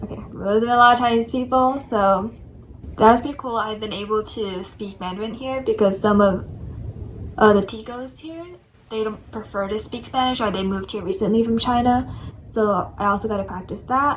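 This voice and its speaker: A woman with an American accent, fairly high pitch, fairly even intonation and big swings in loudness, with audible room echo. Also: moderate pace. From New York City. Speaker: study abroad student. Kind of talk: casual chat.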